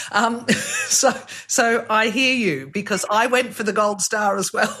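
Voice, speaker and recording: A woman with an Australian accent and a fairly high pitch speaks at a fairly slow pace with ordinary pitch variation over noticeable background noise. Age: 50s. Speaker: podcast host. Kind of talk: interview conversation.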